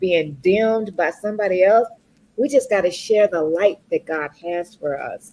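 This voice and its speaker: At a moderate pace, a woman talks at medium pitch in an ordinary speaking voice, with ordinary pitch variation. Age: 60s. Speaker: corporate professional and speaker. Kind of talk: talk show interview.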